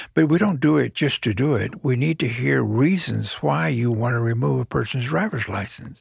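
The speaker has an American accent and a somewhat breathy voice. Pitch swings very widely, with hardly any pauses. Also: man, medium pitch for a man, moderate pace. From Texas, Corpus Christi. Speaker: judge. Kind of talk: interview.

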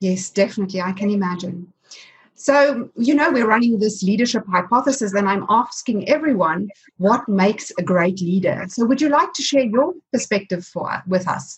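Somewhat breathy, a woman speaks at a medium pitch and moderate pace, her intonation lively. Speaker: podcast host. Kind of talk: interview conversation.

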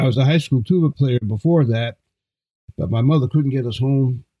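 The speaker is a man with a medium pitch and ordinary pitch variation. His voice is somewhat breathy. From Brooklyn, New York (Flatbush). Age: 70s. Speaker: jazz and classical trombonist. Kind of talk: casual interview chat. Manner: animated, energetic.

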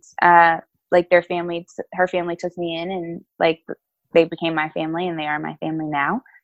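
Fairly low-pitched woman with an American accent, monotone and flat intonation, big swings in loudness, and a fairly quick pace. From New Jersey and North Carolina (East Orange, then Charlotte from age 11). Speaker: pastor. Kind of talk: casual interview. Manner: casual, filler-heavy (um, like).

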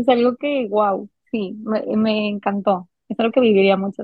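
A woman with an ordinary speaking voice, fairly high in pitch, at a fairly slow pace with fairly even intonation. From Mexico, Monterrey, Nuevo León. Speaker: recently married bride sharing wedding experience. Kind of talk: casual chat.

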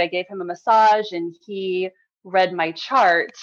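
A woman with an American accent has a normal speaking voice at medium pitch, with ordinary pitch variation. She speaks at a fairly slow pace. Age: 30s. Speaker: massage therapist and life coach. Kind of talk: interview.

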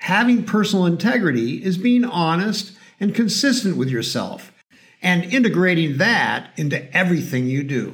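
At a moderate pace, a man speaks with a high pitch and lively intonation. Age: 60s. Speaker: mental performance coach and podcast host. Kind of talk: scripted narration.

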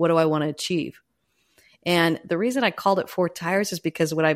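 In a plain, everyday voice, a woman speaks fairly quickly with fairly low pitch and fairly even intonation on a very clean recording with a silent background. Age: 50s. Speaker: leadership coach and author. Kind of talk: interview conversation.

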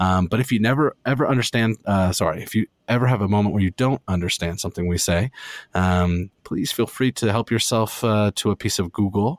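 With a Canadian accent, a man speaks at a fairly quick pace in an unremarkable speaking voice, his fairly low pitch showing ordinary variation, his loudness very even, and the sound dry and close with no echo. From Ontario, Canada. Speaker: board game podcaster. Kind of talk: casual chat. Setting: remote call.

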